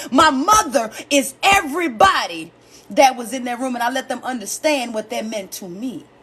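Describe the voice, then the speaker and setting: Her voice high and swinging very widely in pitch, a woman speaks at a moderate pace over noticeable background noise. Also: big swings in loudness. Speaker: comedian and live-stream host. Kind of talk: casual live-stream talk about grief. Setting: live stream. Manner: loud.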